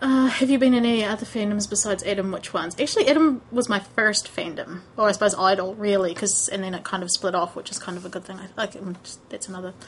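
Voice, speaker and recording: Amid noticeable background noise, a woman at medium pitch rushes at a very fast pace with hardly any pauses and big swings in loudness. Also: ordinary pitch variation. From New Zealand, bottom of the South Island. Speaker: fandom vlogger. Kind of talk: casual chat. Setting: recording at home on a camera. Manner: animated; hesitant, many fillers.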